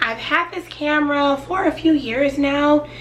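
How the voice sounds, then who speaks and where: A woman speaks in a raised, projected voice against noticeable background noise. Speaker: YouTuber. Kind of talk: casual sit-down tutorial.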